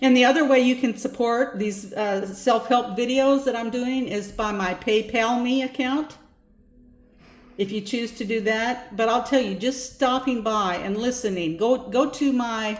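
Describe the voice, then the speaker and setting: Music plays in the background as a woman speaks with a high pitch. Her pace is fairly slow and her intonation fairly even. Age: 70s. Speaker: self-help video creator. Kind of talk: casual talk to camera about offerings. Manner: halting, with false starts; gentle, warm.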